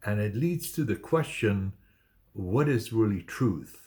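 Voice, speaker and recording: The background is silent, and the recording is very clean. A man's voice sounds somewhat breathy. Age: 60s. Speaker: photographer and vlogger. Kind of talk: casual vlog monologue. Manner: hesitant, many fillers.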